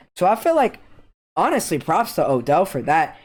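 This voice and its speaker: This is a very clean recording of a man, the background silent. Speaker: podcast co-host. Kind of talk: casual chat. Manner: animated.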